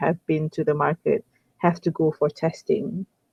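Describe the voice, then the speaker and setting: This voice is in a Malaysian accent. It moves at a fairly slow pace. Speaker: online English tutor. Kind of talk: casual conversation lesson. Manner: hesitant, many fillers and repeats.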